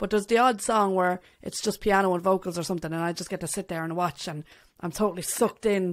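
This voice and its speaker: Over a quiet background, a woman speaks with an Irish accent at a fairly quick pace and ordinary pitch variation. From Ireland. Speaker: podcast host and bassist; podcast host. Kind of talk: casual interview. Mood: friendly, enthusiastic. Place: home room. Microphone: studio mic.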